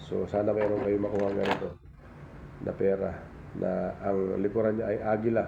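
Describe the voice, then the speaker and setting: A man talks at a moderate pace with a fairly low pitch. Audible room echo surrounds his voice. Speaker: vlogger and old coin collector. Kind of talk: casual show-and-tell tutorial vlog.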